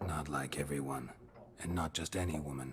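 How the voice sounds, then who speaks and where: Over clear background noise, a man puts on a character voice with a very deep, low pitch and a fairly quick pace. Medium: video game. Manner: terse, gruff, impatient.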